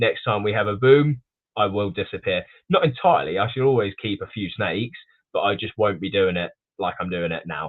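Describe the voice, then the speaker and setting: A man in an English accent, fairly quick pace. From England. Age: 20s. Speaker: snake breeder. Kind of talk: podcast interview. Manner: halting, many fillers and restarts.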